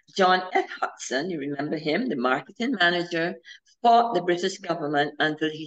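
This woman speaks with a Barbadian accent. Her pitch is fairly low, and the background is quiet. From Barbados. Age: 70s. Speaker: historian; presenter. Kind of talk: history lecture. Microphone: video call.

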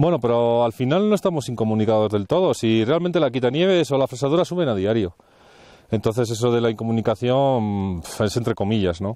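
Lively intonation and a fairly quick pace ride on a dark, mellow tone at very even loudness, with a dry sound that has no echo. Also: man. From Valladolid, Spain; Spain. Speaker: mountain hut warden; mountain guide or local. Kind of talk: interview while hiking. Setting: outdoors in the mountains. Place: open country. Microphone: lapel.

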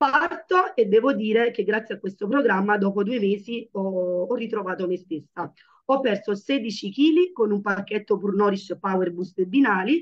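Over a quiet background, a woman of medium pitch speaks at a fairly slow pace. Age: 30s. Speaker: network marketer, mother; presenter. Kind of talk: testimony. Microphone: video call.

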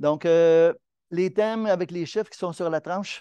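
Against a quiet background, a man with a Quebec accent speaks at a moderate pace in a high pitch, with a dark, mellow tone and fairly even intonation. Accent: Québécois French. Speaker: amateur astronomy club presenter. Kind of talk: lecture.

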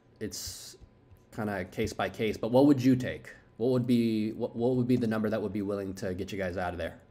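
Pitch moves in an ordinary way. The delivery runs at a fairly quick pace. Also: man. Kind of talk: phone sales call and muttered commentary.

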